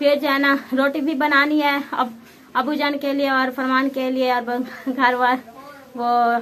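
Light background noise sits beneath a voice with monotone, flat intonation at a fairly slow pace. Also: woman, high pitch for a woman. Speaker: home vlogger. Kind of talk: casual vlog chat. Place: home room. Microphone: phone near.

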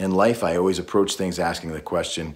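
Speaking at a fairly quick pace, a man uses a very deep, low pitch with ordinary variation. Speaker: voice actor; war veteran. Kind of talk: casual talk to camera. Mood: earnest, friendly, a bit playful. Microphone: phone near.

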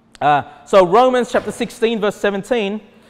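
The speaker is a man. His accent is Australian. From Australia, Sydney. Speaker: pastor. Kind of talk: sermon. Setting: church. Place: hall.

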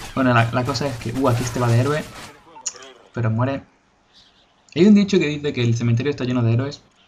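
The speaker talks at a very fast pace with ordinary pitch variation, broken up by long, frequent pauses. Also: man, medium pitch for a man. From Spain, Cádiz (Andalusia). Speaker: gaming youtuber. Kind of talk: gameplay commentary. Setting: home recording. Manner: halting, repeats words.

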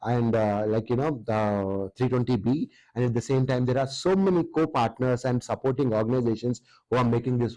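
A man speaks with a dark, mellow tone and ordinary pitch variation. The sound is dry with no echo, and the background is quiet. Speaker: show host, anchor. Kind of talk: presenter announcement to camera. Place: studio.

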